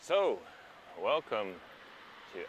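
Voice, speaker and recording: A man is heard over noticeable background noise. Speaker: podcast host. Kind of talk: casual podcast talk.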